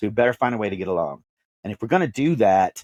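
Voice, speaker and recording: In a very clean recording with a silent background and a dry, close sound with no echo, a man speaks at a medium pitch with an American accent. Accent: Texan, comes out at times. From Texas (Dallas). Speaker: podcast host. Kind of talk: interview, personal story.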